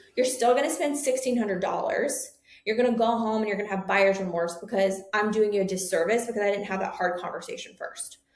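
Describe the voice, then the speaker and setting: The speech comes very fast with hardly any pauses. Pitch variation is ordinary. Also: woman, fairly high pitch for a woman. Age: 30s. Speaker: nurse practitioner and med spa owner. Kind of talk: interview. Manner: animated.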